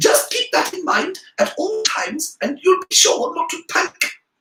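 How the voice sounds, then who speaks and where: A man's squeaky, put-on character voice at an extremely high pitch, delivered at a moderate pace. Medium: read story. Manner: earnest, fussily reassuring.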